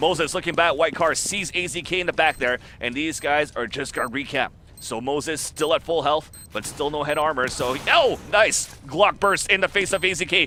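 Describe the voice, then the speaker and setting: A man talks at a moderate pace in a fairly high voice with ordinary pitch variation. He has an unremarkable speaking voice. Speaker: esports commentator. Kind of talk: live commentary. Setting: live event venue near players.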